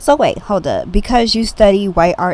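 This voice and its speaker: Speaking in an ordinary speaking voice, a woman keeps a moderate pace and a medium pitch. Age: 20s. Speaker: podcast host. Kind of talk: casual commentary monologue. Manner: casual, conversational.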